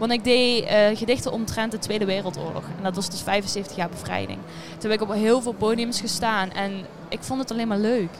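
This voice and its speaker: A woman speaks at a fairly quick pace and fairly high pitch with fairly even intonation. There is audible room echo and noticeable background noise. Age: young. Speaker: student and poetry competition entrant. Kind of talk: casual interview. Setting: theatre foyer.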